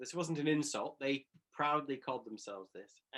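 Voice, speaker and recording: Delivery comes at a moderate pace. The voice has a bright, sharp tone. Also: man. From Western Canada. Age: 40s. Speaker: political theologian. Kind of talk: conversational talk. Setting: talk with live audience.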